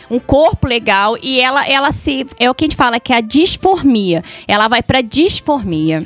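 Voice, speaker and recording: A woman talks at a moderate pace and high pitch with very wide pitch swings and hardly any pauses. The sound is dry and close with no echo, with music in the background. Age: 40s. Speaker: beautician. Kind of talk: casual chat.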